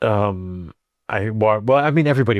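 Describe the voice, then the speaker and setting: An American accent comes through. Behind the voice, things stay quiet. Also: man, dry, close sound with no echo. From US, Colorado. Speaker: expat comedian. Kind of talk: podcast interview. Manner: halting, many restarts.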